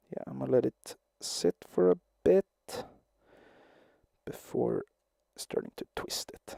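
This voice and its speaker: Soft-spoken, a man talks at a very slow pace with long, frequent pauses and big swings in loudness, in a dry, close sound with no echo. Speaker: livestreamer crafting a puppet. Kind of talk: casual live-stream commentary while crafting. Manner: soft-spoken, talking quietly.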